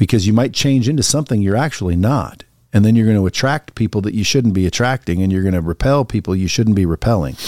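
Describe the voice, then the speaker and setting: Speaking at a very fast pace, a man with a fairly low pitch and a dark, mellow tone uses lively intonation, captured in a very clean recording with a silent background and a dry, close sound with no echo. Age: 50s. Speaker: podcast guest, motivational speaker. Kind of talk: casual interview.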